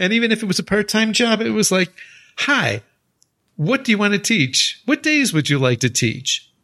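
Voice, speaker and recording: A man with an American accent, high-pitched with very wide pitch swings, at a moderate pace in a raised, projected voice. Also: very even loudness. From United States. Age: 60s. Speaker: university English teacher, podcast co-host. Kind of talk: casual chat.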